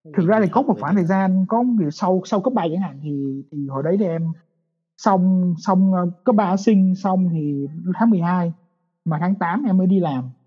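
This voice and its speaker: The man speaking has a high pitch and ordinary pitch variation. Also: moderate pace. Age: 20s. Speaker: software engineer. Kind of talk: casual chat.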